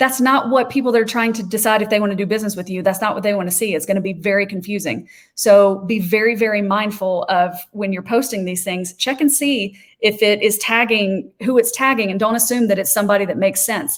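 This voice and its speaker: A woman talks at a very fast pace with hardly any pauses. Her pitch is medium, with ordinary pitch variation. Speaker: social media trainer. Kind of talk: webinar presentation.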